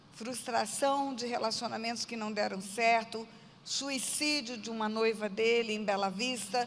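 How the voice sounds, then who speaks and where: A female speaker talks at a very slow pace, her fairly high voice keeping fairly even intonation. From Brazil, Mato Grosso do Sul (Aquidauana). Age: 60s. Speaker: pastor. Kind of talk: testimony.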